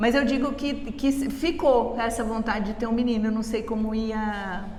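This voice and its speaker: Noticeable background noise and audible room echo surround the recording. A woman speaks at a fairly high pitch. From Brazil, Rio and São Paulo. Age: 60s. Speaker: mother interviewed about motherhood. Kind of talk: casual interview chat. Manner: halting, with repetitions and fillers.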